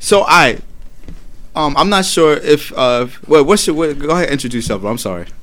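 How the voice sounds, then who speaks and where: A man with a New York accent speaks at a fairly high pitch and a fairly quick pace. His intonation is lively, and audible room echo surrounds his voice. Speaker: podcast co-host. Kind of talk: casual chat. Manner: loud.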